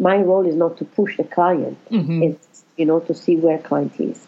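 A woman talks with an Italian accent. Her pace is moderate. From Italy. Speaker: life coach and counsellor. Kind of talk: interview.

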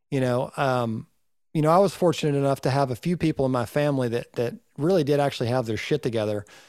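On a very clean recording with a silent background, a man with a Southern US accent talks at a very fast pace with ordinary pitch variation. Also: medium pitch for a man. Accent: Southern US (Georgia). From Northeast Georgia, US South. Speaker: recording engineer and podcast co-host. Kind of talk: casual chat.

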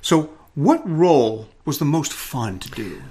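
Lively intonation marks a man's somewhat breathy voice, pitched fairly high. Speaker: podcast host. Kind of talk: casual interview.

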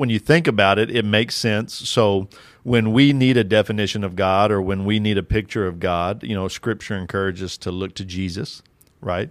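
In a very clean recording with a silent background, a man with an ordinary speaking voice, fairly low pitch and an American accent talks at a fairly quick pace. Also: ordinary pitch variation. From rural Kentucky, US. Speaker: doctoral student and fatherhood teacher. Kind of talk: casual interview.

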